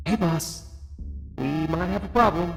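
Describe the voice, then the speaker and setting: A robotic, put-on character voice speaks at a moderate pace. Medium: actual play.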